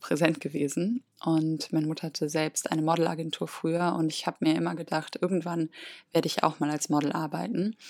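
On a very clean recording with a silent background, a woman uses a plain, everyday voice, fairly low in pitch with fairly even intonation. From Germany, near Cologne. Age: 30s. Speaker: podcast host, spiritual coach. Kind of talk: personal monologue.

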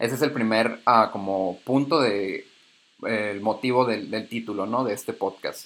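This man's voice has a medium pitch and fairly even intonation. He talks fairly slowly. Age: 20s. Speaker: podcast host, communications graduate. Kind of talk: personal reflective monologue. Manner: hesitant, filler-heavy.

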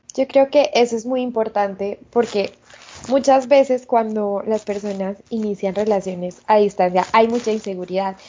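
A woman talks at a moderate pace with fairly even intonation and a fairly high pitch. Noticeable background noise sits behind her. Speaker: podcast host. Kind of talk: casual chat.

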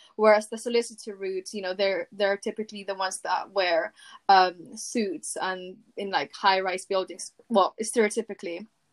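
A woman with a plain, everyday voice talks at a moderate pace and medium pitch, her intonation fairly even, in a dry, close recording with no echo. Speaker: university student guest. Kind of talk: casual interview.

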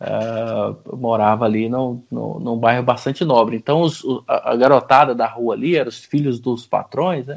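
At a moderate pace, a man is talking. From Goiânia, central Brazil. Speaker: franchise business owner. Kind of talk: interview, life story.

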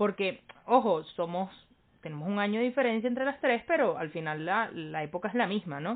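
A woman with an ordinary speaking voice, medium pitch, lively intonation and a moderate pace. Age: 20s. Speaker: podcast co-host. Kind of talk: casual chat.

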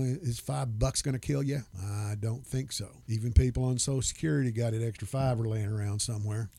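Moving at a fairly quick pace, a man talks in a normal speaking voice with ordinary pitch variation. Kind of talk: casual chat.

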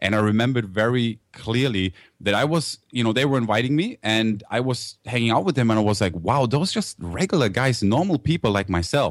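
A man with a German accent talks at a fairly quick pace and a medium pitch. His intonation is lively and his loudness stays very even. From Germany. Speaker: internet entrepreneur. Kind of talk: interview. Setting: studio. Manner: enthusiastic.

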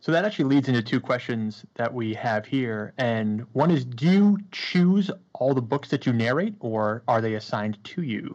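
With an ordinary speaking voice, a man at medium pitch talks at a moderate pace with lively intonation and hardly any pauses against a quiet background. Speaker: podcast co-host. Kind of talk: casual chat.

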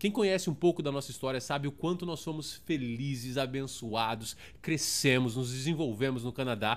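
A man with a São Paulo accent, an animated tone and lively intonation at medium pitch and moderate pace, on a very clean recording with a silent background. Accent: Paulistano Brazilian Portuguese. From Brazil, São Paulo (Zona Sul). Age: 30s. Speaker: podcast host. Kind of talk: casual monologue.

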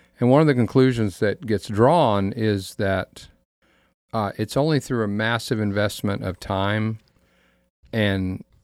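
In a plain, everyday voice, the speaker goes at a fairly slow pace with ordinary pitch variation on a very clean recording with a silent background. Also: man. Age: 60s. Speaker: pastor and panelist. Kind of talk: casual chat. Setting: studio.

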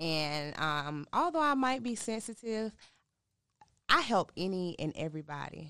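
A woman with an American accent and fairly low pitch, her bright, sharp tone moving in very wide pitch swings and big swings in loudness at a moderate pace over a quiet background. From North Carolina, Durham. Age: 20s. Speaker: author and domestic violence survivor. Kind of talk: interview testimony.

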